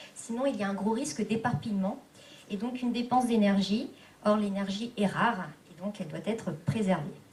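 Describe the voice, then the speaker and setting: The room echo is audible as a woman speaks at medium pitch with ordinary pitch variation. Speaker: activist rapporteur summarizing group work. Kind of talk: meeting summary report. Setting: public meeting hall. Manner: fast; hesitant, many fillers.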